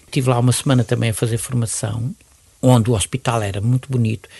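Somewhat breathy, this man's voice holds a medium pitch. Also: dry, close sound with no echo. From Mozambique. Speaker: retired pediatrician and neonatologist. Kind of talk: interview.

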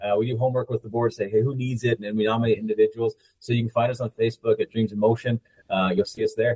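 Speaking at a very fast pace, a man with an American accent keeps a monotone, flat intonation at a medium pitch, his dark, mellow tone somewhat breathy in a dry, close sound with no echo. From Utah (Uinta Basin). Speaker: army officer. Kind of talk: interview.

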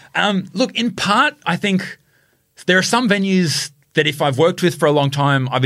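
Speaking at a fairly quick pace with an Australian accent, a man shows vocal fry and very wide pitch swings. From country Queensland, Australia. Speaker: food influencer and social media marketer. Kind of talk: interview conversation. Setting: studio.

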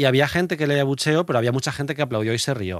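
An unremarkable speaking voice from a man at medium pitch, lively in intonation, in a very clean recording with a silent background. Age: 30s. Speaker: podcast host. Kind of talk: casual chat. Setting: studio.

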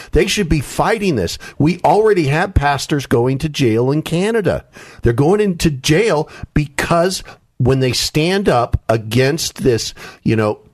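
A man speaks with a somewhat breathy, fairly high voice at a fairly slow pace. The background is quiet. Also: lively intonation. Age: 60s. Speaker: author and political commentator. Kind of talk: radio interview.

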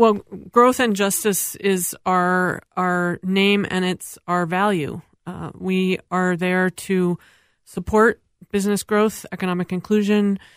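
A woman of medium pitch speaks very slowly with monotone, flat intonation. The recording is very clean with a silent background and a dry, close sound with no echo. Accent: American. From Minnesota. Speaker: think tank president. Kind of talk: panel discussion. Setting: studio.

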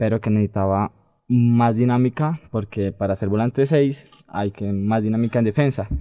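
A man speaks in a plain, everyday voice at a moderate pace. His pitch is medium, with ordinary variation. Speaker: youth academy footballer. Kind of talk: casual interview.

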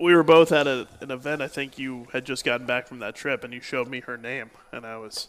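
A man with an ordinary speaking voice, medium in pitch, keeps fairly even intonation and hardly any pauses while his loudness swings widely. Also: fairly quick pace. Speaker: radio play-by-play host. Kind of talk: radio talk show. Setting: stage with audience.

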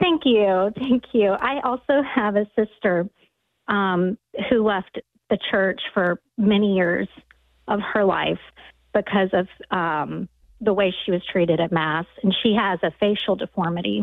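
Someone with a normal speaking voice and an American accent talks at a fairly slow pace, with very even loudness and ordinary pitch variation. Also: woman, medium pitch for a woman. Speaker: caller. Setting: phone call.

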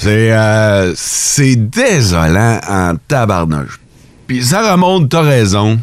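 A man with a Quebec accent speaks at a very slow pace and medium pitch, with very wide pitch swings and very even loudness. Noticeable background noise runs underneath. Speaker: morning radio host. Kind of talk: morning radio banter. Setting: radio studio. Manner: animated.

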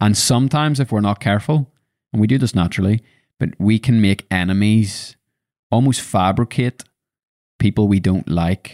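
Recorded very cleanly against a silent background, with a dry, close sound and no echo, the voice with a Northern Irish accent holds a very even loudness, ordinary pitch variation and a moderate pace broken by long, frequent pauses. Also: man, fairly low pitch for a man. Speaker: podcast host. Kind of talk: casual chat.

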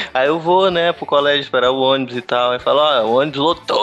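There is noticeable background noise. The speech moves at a fairly quick pace. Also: man. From Recife, Brazil. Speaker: podcaster. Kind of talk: casual chat.

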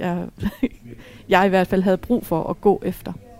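Dark and mellow in tone, a woman's voice holds a medium pitch with monotone, flat intonation. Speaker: widow. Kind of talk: casual chat. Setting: restaurant.

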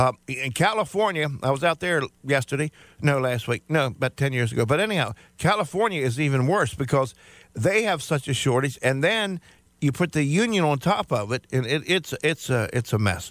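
A man's ordinary speaking voice, fairly high in pitch, with lively intonation and very even loudness at a moderate pace, in a dry, close sound with no echo. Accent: American. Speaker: radio talk show host. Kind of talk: call-in radio talk show, bantering.

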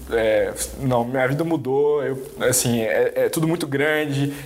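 A man speaks at a fairly slow pace with ordinary pitch variation. Audible room echo and noticeable background noise surround him. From Brazil, Belo Horizonte. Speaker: engineer and entrepreneur. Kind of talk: interview. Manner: halting, many repetitions.

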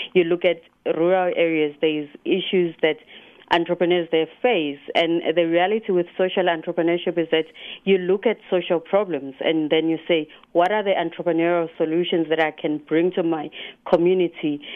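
Speaking in a South African accent, a woman uses a flat monotone at a moderate pace and fairly low pitch. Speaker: competition spokesperson. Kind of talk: radio interview.

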